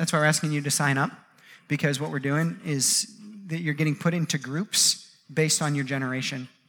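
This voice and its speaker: An animated man with a fairly high pitch at a fairly quick pace, in a very clean recording with a silent background. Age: 30s. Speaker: pastor. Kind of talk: sermon. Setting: church.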